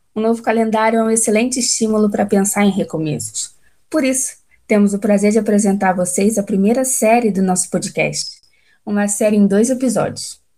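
At a fairly quick pace, a woman with a fairly high pitch and a somewhat breathy, dark, mellow tone speaks with fairly even intonation and very even loudness. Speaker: podcast host. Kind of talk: scripted narration.

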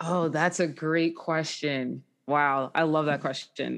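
This woman's pitch is very deep and low. She speaks very slowly with an American accent. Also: very clean recording, silent background. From New Jersey, Jackson. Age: 20s. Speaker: singer-songwriter. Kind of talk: interview.

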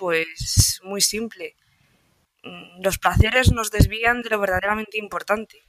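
Her intonation holds fairly even. This woman speaks at a fairly slow pace. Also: dry, close sound with no echo. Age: 20s. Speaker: stoicism content creator. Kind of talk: interview.

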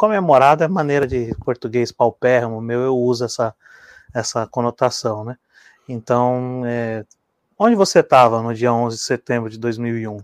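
A man's medium-pitched, unremarkable speaking voice at a moderate pace, with ordinary pitch variation, big swings in loudness, and a dry, close sound with no echo. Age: 30s. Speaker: co-host. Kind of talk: live talk show.

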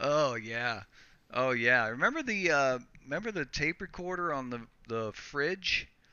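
A man with an unremarkable speaking voice talks fairly slowly, his fairly high pitch rising and falling in lively intonation. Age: 40s. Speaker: podcast co-host. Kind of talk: casual chat.

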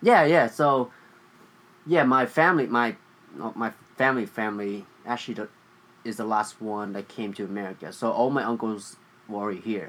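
With a Vietnamese accent, a man speaks at a moderate pace with medium pitch, ordinary pitch variation and long, frequent pauses. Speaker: podcast co-host. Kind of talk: casual chat.

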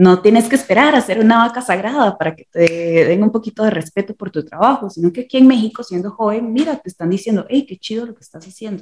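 At a very fast pace with hardly any pauses, a woman speaks in a fairly high, somewhat breathy voice with ordinary pitch variation. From Costa Rica. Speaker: visual and performing artist. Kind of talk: interview. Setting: remote call.

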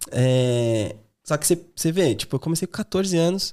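In a very clean, dry, close recording with a silent background and no echo, a man with a São Paulo accent speaks at a fairly high pitch with ordinary pitch variation. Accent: Paulistano Brazilian Portuguese. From Brazil, São Paulo East Zone. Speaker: sales manager, former exchange student. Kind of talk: casual interview.

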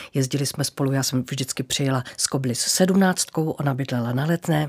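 A woman's very deep, low voice, fairly even in intonation, at a fairly quick pace. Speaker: former TV announcer and presenter. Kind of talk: casual interview.

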